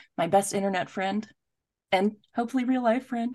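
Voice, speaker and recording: Speaking with an American accent, a woman talks at a fairly quick pace in an animated tone over a quiet background. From United States. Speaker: podcast host. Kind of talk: casual chat.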